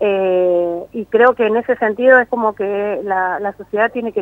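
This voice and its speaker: A woman's fairly high voice, with ordinary pitch variation, moves along at a very slow pace. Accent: Mendoza. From Argentina, Mendoza. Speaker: documentary filmmaker. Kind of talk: interview. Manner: hesitant, many fillers.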